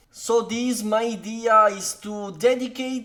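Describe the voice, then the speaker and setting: A high-pitched man at a very slow pace, with noticeable background noise. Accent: Italian. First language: Italian. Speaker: card game content creator. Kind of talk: deck tech tutorial. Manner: halting, many fillers.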